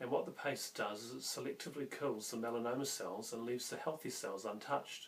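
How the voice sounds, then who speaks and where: Lively intonation in a New Zealand accent, over noticeable background noise. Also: man. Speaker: health vlogger. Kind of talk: casual vlog talk to camera. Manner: halting, with fillers.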